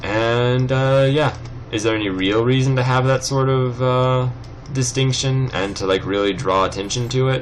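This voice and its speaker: A man speaks at a moderate pace in a Californian accent, his loudness very even. Room echo is audible and background noise is noticeable. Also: medium pitch for a man, fairly even intonation. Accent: California. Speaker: let's play gamer. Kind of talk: gameplay commentary. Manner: casual, rambling with fillers.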